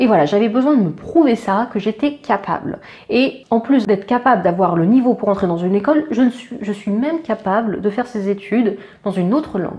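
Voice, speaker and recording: Her pitch fairly high and her intonation lively, a woman talks at a fairly quick pace. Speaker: veterinary student, YouTuber. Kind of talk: casual vlog talk to camera. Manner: hesitant, many fillers.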